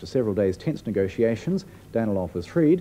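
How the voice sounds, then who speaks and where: Very wide pitch swings mark this man's dark, mellow tone. Light background noise is present. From New Zealand. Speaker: news presenter. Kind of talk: 1980s TV news narration, formal and measured, read as a year-in-review voiceover. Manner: formal, authoritative, steady and brisk. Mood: serious, measured. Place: studio.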